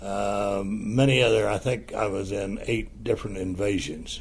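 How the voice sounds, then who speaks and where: Audible room echo surrounds a man who speaks fairly slowly with a US Midwestern accent. His voice is fairly low-pitched. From Ohio, US Midwest. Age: 80s+. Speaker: war veteran. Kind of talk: personal testimony interview. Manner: halting, with frequent fillers.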